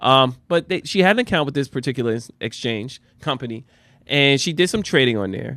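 A man with a New Jersey accent and fairly high pitch speaks in an animated tone with lively intonation against a quiet background. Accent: New Jersey American. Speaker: podcast host. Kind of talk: casual chat. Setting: studio.

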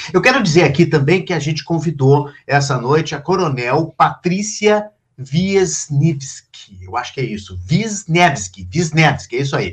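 A man with a fairly high pitch and vocal fry talks at a fairly slow pace with hardly any pauses, his pitch swinging very widely. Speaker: live show host and editor. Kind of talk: moderated live panel discussion. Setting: live online stream.

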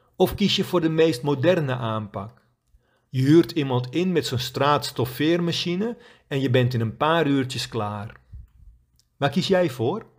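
An ordinary speaking voice, a man's fairly high one, moves at a fairly slow pace with lively intonation on a very clean recording with a silent background. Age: 50s. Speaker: quit-smoking coach. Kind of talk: scripted narration.

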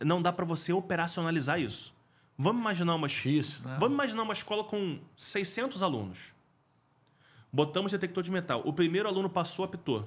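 On a very clean recording with a silent background, a high-pitched man speaks fairly quickly with lively intonation. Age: 40s. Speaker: school safety specialist, former firefighter. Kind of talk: interview conversation.

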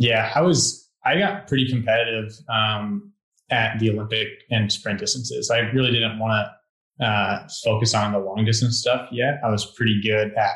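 This man has an unremarkable speaking voice at medium pitch and talks at a moderate pace. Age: 20s. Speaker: elite road cyclist. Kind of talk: casual interview.

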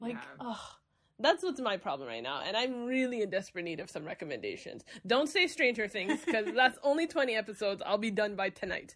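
Speaking at a fairly quick pace, a woman uses a fairly high pitch with very wide pitch swings and vocal fry. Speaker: podcast co-host. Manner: hyperactive, energetic.

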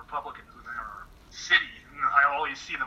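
A man talks with a West Coast American accent. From California, near Sacramento. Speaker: political commentator. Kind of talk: interview. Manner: soft-spoken. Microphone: too quiet.

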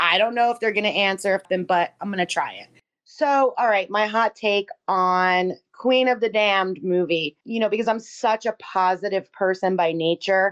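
A woman with an unremarkable speaking voice talks at a moderate pace with hardly any pauses, a medium pitch and ordinary pitch variation, in a dry, close sound with no echo over a quiet background. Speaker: podcast co-host. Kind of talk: casual chat.

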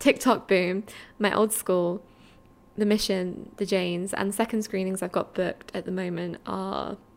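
In an Essex accent, a woman talks at a moderate pace and medium pitch with monotone, flat intonation, captured on a very clean recording with a silent background. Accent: southern English (Essex). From Essex, England. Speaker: podcast host, film writer. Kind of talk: solo casual chat.

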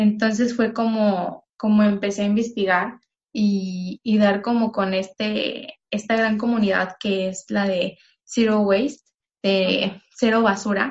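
A woman's somewhat breathy voice, at a medium pitch with fairly even intonation, unfolds at a very slow pace. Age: 20s. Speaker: environmental engineering graduate and eco-product entrepreneur. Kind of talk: interview.

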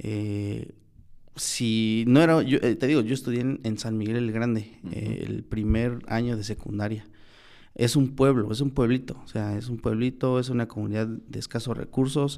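At a fairly slow pace, a man at a medium pitch speaks with fairly even intonation and a dark, mellow tone. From Oaxaca, Mexico (Mixteca). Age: 20s. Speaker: lawyer. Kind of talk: casual interview. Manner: halting, many fillers.

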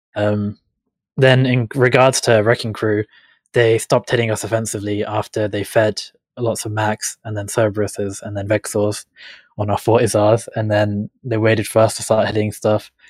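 This man keeps a moderate pace at a fairly low pitch. His intonation is monotone and flat. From England. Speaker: gaming guest, council candidate. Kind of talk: casual chat.

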